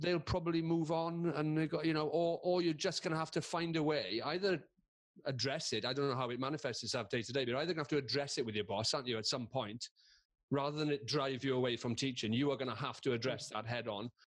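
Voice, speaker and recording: This man has a fairly high pitch and a Welsh accent. He speaks very fast, with ordinary pitch variation. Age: 50s. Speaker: comedian and presenter. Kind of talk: casual chat.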